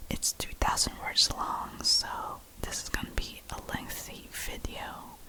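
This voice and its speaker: A woman is whispering at a fairly slow pace. Noticeable background noise is present. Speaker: ASMR creator. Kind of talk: ASMR whispered chat and reading aloud. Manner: halting, many fillers.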